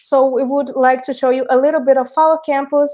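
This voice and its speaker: A woman talks at a moderate speed, keeping her intonation fairly level. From Brazil. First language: Portuguese. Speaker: design teacher. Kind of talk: online workshop presentation.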